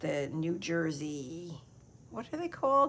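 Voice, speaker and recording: A woman with an American accent talks at a very slow pace in a very deep, low pitch with vocal fry. Her pitch swings very widely. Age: 60s. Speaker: craft video creator. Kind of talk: casual chat. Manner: hesitant, many fillers.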